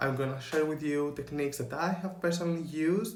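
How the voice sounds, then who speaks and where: A man's fairly high voice with a Greek accent, plus audible room echo. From Greece. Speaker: spiritual coach and photographer. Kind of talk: motivational talk to camera. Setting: in front of camera.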